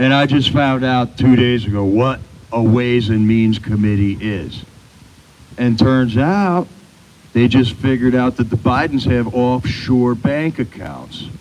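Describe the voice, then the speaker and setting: A man talks at a fairly slow pace in a normal speaking voice. His pitch sits in the medium range and varies in an ordinary way. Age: 60s. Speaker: rally speaker. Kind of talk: public speech.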